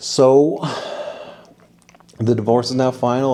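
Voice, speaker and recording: A man's voice with fairly even intonation over music in the background. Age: 50s. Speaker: film industry worker. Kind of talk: personal vlog talk to camera.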